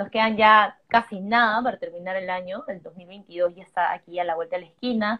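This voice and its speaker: A woman speaks at a moderate pace with an ordinary speaking voice. Her pitch is fairly high and varies in an ordinary way. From Peru. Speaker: digital marketing entrepreneur. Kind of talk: live stream chat. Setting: live stream.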